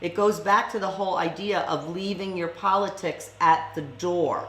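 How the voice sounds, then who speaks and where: The room gives audible echo to this woman's voice. Background noise is noticeable throughout. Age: 60s. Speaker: school board candidate. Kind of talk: interview.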